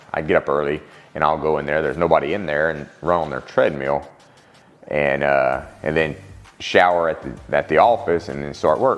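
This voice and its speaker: Over music in the background, a man with a Louisiana accent speaks at a moderate pace in a very deep, low pitch with ordinary pitch variation. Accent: southern US (Louisiana). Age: 40s. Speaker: CrossFit masters athlete. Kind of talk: personal testimony, interview. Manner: halting, many fillers and restarts.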